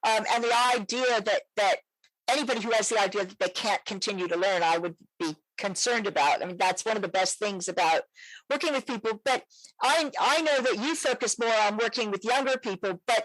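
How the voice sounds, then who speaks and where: A plain, everyday voice moves at a fairly quick pace with lively intonation. The recording is dry and close, with no echo. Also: woman. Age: 60s. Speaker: psychologist and sex therapist podcast host. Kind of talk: interview conversation.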